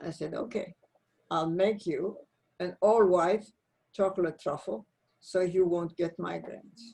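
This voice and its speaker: A woman's medium-pitched voice with vocal fry, ordinary pitch variation, a fairly slow pace and long, frequent pauses. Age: 80s+. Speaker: former space agency science director and author. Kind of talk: interview conversation.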